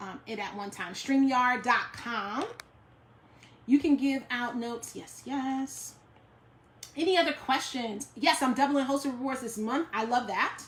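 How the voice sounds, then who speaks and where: A speaker with a New York accent and ordinary pitch variation. The loudness swings widely, and there's noticeable background noise. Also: woman, high pitch for a woman. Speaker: direct sales team leader. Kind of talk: live stream Q&A. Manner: fast.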